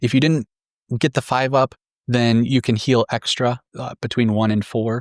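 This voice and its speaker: Here is a normal speaking voice at a moderate pace. The sound is dry and close with no echo, on a very clean recording with a silent background. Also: man. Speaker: tabletop wargame strategy content creator. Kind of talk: scripted tactics explainer.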